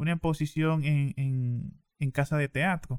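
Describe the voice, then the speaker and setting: It is a normal speaking voice with fairly even intonation. The recording is very clean and dry, close, with no echo and a silent background. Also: man. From Dominican Republic, eastern region. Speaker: poet. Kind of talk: interview.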